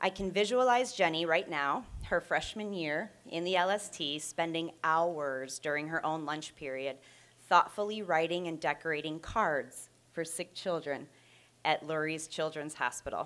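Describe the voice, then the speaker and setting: Her pace is fairly slow and her pitch fairly low. The woman's voice has ordinary pitch variation. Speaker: presenter. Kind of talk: prepared tribute speech, read aloud. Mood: warm, proud. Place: classroom.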